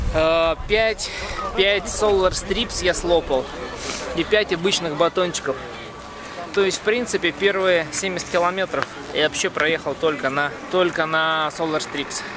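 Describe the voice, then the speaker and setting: A man speaks at a high pitch and a fairly slow pace, with long, frequent pauses. Noticeable background noise is present. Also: ordinary pitch variation. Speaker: amateur cyclist, vlogger. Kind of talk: casual chat.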